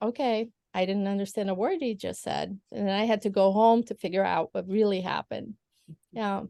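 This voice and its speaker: Dry, close sound with no echo, and a woman at a medium pitch with a Portuguese accent, moderate pace, and ordinary pitch variation. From Brazil. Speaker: lawyer. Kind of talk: casual chat. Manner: hesitant, many fillers.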